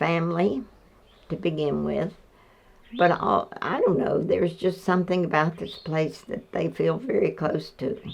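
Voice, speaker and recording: A woman speaks with an Appalachian accent. Her pace is fairly slow, with long, frequent pauses. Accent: Appalachian Southern US. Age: 80s+. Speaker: farm family elder. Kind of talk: interview.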